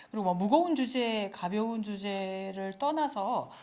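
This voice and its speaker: An unremarkable speaking voice from a woman, medium in pitch, with lively intonation at a moderate pace, on a very clean recording with a silent background. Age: 60s. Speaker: retired journalist and lecturer. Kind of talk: lecture.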